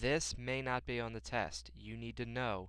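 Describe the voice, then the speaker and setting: A man speaks in a very deep, low pitch. There is audible room echo around him. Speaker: math teacher. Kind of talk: tutorial.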